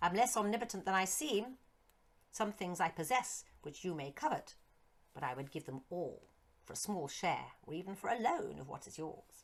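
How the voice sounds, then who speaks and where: In a put-on character voice, a female-sounding speaker talks shrilly at a middle pitch and moderate pace. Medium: read story. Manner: mocking, grandiose.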